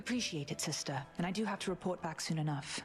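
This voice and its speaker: Music plays behind this woman's voice. She talks at a very fast pace. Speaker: video game character.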